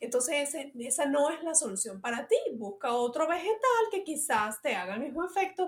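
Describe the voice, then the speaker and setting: A high-pitched woman speaks at a moderate pace, her pitch swinging very widely. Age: 40s. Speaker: health and fitness podcast host. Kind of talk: solo podcast monologue, advice. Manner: hesitant, many fillers.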